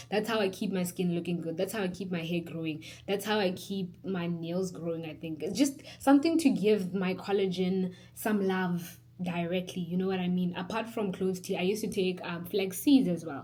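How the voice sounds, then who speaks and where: Audible room echo surrounds a woman speaking at a medium pitch. She talks at a moderate pace with ordinary pitch variation. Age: 20s. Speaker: beauty vlogger. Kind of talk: casual vlog tutorial. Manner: chatty, animated.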